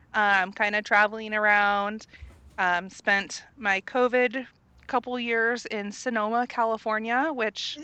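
A woman's bright, sharp tone at a fairly high pitch, fairly slow pace and fairly even intonation over a quiet background. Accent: American. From Central Indiana, US Midwest. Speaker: travel recruiter and former physical therapist assistant. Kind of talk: interview.

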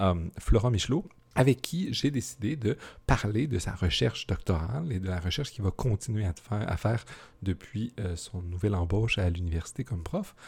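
In a Quebec accent, a man speaks at a moderate pace with a fairly low pitch and a dark, mellow, somewhat breathy tone. His intonation is lively, and the recording is very clean with a silent background. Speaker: podcast host, philosophy teacher. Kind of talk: casual interview.

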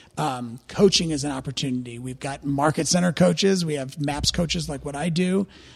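The speaker talks at a fairly quick pace, with an American accent and hardly any pauses. The voice is somewhat breathy, with ordinary pitch variation. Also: man, fairly high pitch for a man. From US Midwest, St. Louis, Missouri. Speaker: real estate regional director. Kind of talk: podcast interview.

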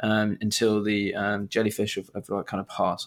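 Fairly quick speech with a British accent is captured on a very clean recording with a silent background. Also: man. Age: 20s. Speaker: podcast host. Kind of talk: casual chat.

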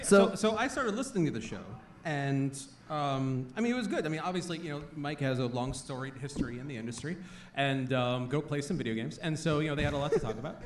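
Noticeable background noise sits behind a man with a fairly high pitch. He talks very fast with lively intonation. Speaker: podcast host. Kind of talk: live podcast show with banter. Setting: stage with audience.

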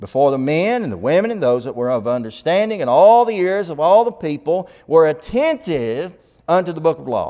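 The speaker sounds animated, with lively intonation. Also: man. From Alabama, US South. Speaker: preacher. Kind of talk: sermon, gospel meeting preaching. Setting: church with congregation. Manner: folksy.

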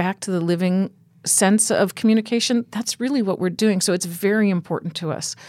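A woman speaks in a normal speaking voice at a moderate pace and medium pitch, with ordinary pitch variation. The recording is very clean, with a silent background. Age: 50s. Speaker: animal rescue founder. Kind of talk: interview. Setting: studio.

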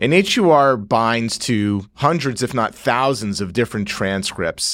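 A man with an American accent has a plain, everyday voice and lively intonation. He talks at a moderate pace on a very clean recording with a silent background. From Northeast New Jersey. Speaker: surgeon scientist. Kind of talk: interview on medical research.

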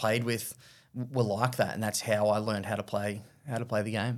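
In an Australian accent, a man speaks at a medium pitch with monotone, flat intonation on a very clean recording with a silent background. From Australia, Victoria. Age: 30s. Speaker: former professional cricketer. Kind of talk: interview.

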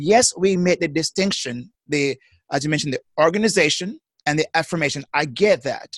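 Someone with a Jamaican accent speaks at a moderate pace with lively intonation, sounding dry and close with no echo against a quiet background. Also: man. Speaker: psychotherapist. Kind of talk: casual chat. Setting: video call. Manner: halting.

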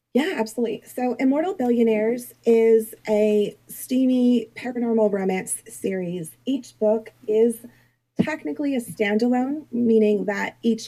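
Her pitch fairly high and varying in an ordinary way, a woman with a dark, mellow tone speaks at a moderate pace. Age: 40s. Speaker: author. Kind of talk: interview. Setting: live online interview.

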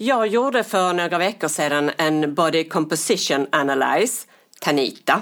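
A woman speaks in an ordinary speaking voice at a fairly low pitch, with lively intonation. Her pace is fairly slow, and the recording is very clean with a silent background. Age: 60s. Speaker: podcast co-host. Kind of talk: casual chat.

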